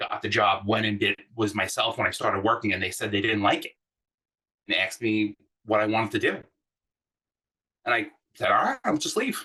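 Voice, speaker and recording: A man talks at a fairly quick pace but with long, frequent pauses. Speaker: design manager. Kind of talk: workshop talk. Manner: loud; animated.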